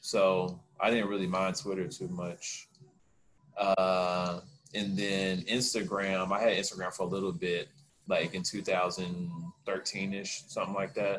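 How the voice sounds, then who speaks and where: An unremarkable speaking voice from a man, fairly low in pitch, at a fairly slow pace with fairly even intonation. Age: 30s. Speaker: podcast co-host. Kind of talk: casual chat.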